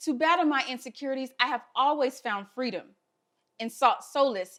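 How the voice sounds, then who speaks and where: A woman talks at a fairly quick pace in a Southern US accent. Her pitch is high. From US South. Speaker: health equity fellow. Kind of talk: speech.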